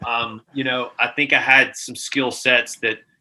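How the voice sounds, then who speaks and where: Speaking with a Southern US accent, a man uses a bright, sharp tone at a medium pitch, with monotone, flat intonation and a moderate pace. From US South, Mississippi. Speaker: gaming sales executive. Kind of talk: casual chat.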